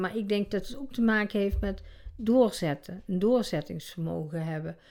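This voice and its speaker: Speaking at a moderate pace, this woman has an ordinary speaking voice, a medium pitch and ordinary pitch variation. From Netherlands, North Brabant. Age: 60s. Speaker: interviewee with obesity. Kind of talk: casual interview. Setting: at home.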